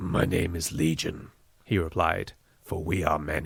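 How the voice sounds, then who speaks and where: A man puts on a raspy character voice at a moderate pace, pitched very deep and low. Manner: menacing, eerie.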